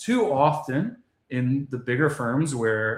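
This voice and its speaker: A somewhat breathy man at medium pitch, with an American accent. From Florida, Palm Beach County. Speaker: personal injury lawyer. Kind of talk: interview.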